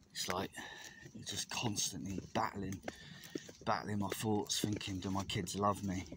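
Over noticeable background noise yet with a dry sound with no echo, a man with a fairly low pitch talks at a moderate pace in monotone, flat intonation. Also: long, frequent pauses. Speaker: vlogger walking his dog. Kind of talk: casual personal vlog chat. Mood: low, reflective, confessional. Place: open country. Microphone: phone near.

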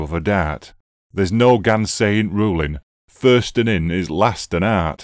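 A man with a Yorkshire accent speaks very slowly and with lively intonation, in a very clean, dry, close recording with no echo and a silent background. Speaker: poetry reader. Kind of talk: dialect poetry reading.

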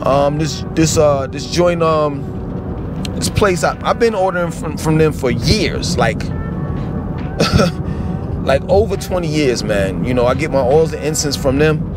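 A man at a fairly slow pace with long, frequent pauses and ordinary pitch variation, dry with no echo, music in the background. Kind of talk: casual vlog chat. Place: car. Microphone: phone near.

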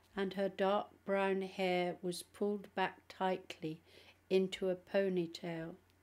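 A natural voice reading aloud

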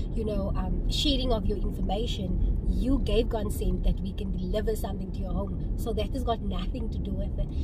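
Loud background noise fills the recording. The speech moves at a fairly quick pace. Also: woman, dry sound with no echo. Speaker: vlogger. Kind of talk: casual vlog chat. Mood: frustrated, indignant storytelling. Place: car. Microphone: phone near.

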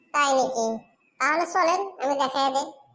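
Using a cartoonish character voice, a woman speaks at a high pitch.

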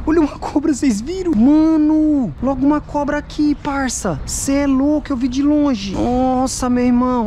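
Over noticeable background noise, a woman speaks in an animated, excited tone at a high pitch with ordinary pitch variation. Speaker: YouTuber doing metal detecting and magnet fishing. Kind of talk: casual on-camera vlog narration. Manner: animated, excited exclamations.

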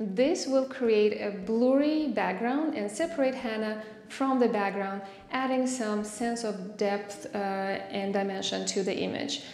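A woman speaks at a fairly slow pace with ordinary pitch variation. Audible room echo and light background noise are present. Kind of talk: tutorial. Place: empty room.

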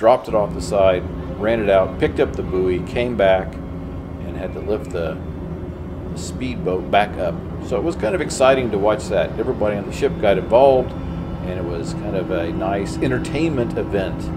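A moderate pace over loud background noise. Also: man. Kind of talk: travel vlog narration.

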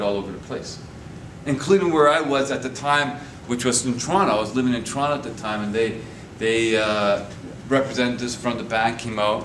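A man speaks at a medium pitch with ordinary pitch variation. Light background noise and audible room echo are present. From Winnipeg, Manitoba, Canada. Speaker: guest. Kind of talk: lecture. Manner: halting. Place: classroom. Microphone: camera far.

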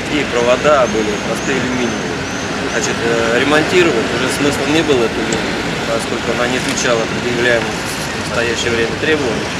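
Loud background noise sits under a man speaking at a fairly quick pace. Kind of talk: interview answer. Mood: calm, businesslike. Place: street. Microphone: handheld.

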